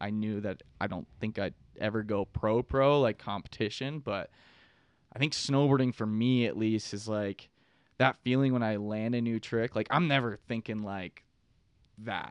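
An ordinary speaking voice from a man with an American accent, medium in pitch with ordinary pitch variation, at a moderate pace, in a dry, close sound with no echo. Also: quiet background. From Pittsburgh, Pennsylvania. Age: 20s. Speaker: content creator and snowboarder. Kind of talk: casual podcast interview. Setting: studio.

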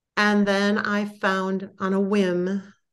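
Against a quiet background, a woman with an American accent speaks at a medium pitch in a monotone, flat intonation. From Wisconsin. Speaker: guest sharing life story. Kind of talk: podcast interview, personal story.

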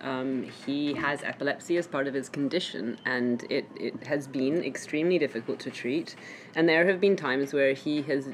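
A woman speaks with a British accent in a very deep, low pitch. She keeps a moderate pace with ordinary pitch variation. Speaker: parent. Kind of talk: casual chat.

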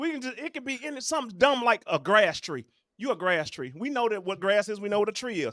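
In a dry, close recording with no echo, a man uses a raised, projected voice with a bright, sharp tone, lively intonation and a fairly quick pace. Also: very clean recording, silent background. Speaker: podcast host. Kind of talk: heated debate.

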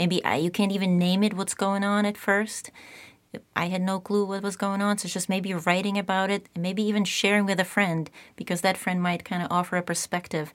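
Speaking at a fairly quick pace in a Czech accent, a woman has a medium pitch and monotone, flat intonation on a very clean recording with a silent background. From Czech Republic. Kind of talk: interview conversation. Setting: studio.

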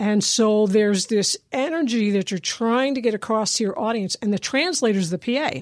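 In a very clean recording with a silent background, an unremarkable speaking voice with an American accent moves at a moderate pace. The intonation is lively and there are hardly any pauses. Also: woman, fairly high pitch for a woman. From US Northeast, Lehigh Valley, Pennsylvania. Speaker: musician and drum circle leader. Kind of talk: interview, personal story.

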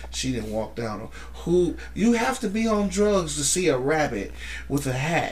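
Speaking at a fairly slow pace with an American accent, a man is heard amid noticeable background noise and audible room echo. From Holland, Michigan (US Midwest). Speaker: wrestling fan guest. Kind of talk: casual chat.

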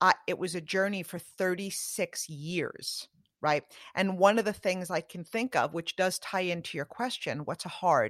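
An unremarkable speaking voice with ordinary pitch variation. The sound is dry and close, with no echo. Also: woman, medium pitch for a woman, moderate pace, very clean recording, silent background. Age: 40s. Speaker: network marketing professional and podcast host. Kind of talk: interview conversation.

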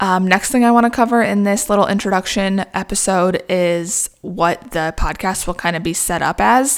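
An unremarkable speaking voice from a woman, medium in pitch. She talks at a moderate pace with ordinary pitch variation. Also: hardly any pauses. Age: 20s. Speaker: small business owner, wedding invitation designer. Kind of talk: casual monologue podcast. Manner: casual, filler-heavy with frequent laughs.

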